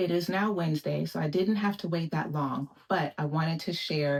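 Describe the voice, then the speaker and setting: A woman with a very deep, low voice speaks at a moderate pace. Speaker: lifestyle vlogger. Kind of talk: product unboxing vlog.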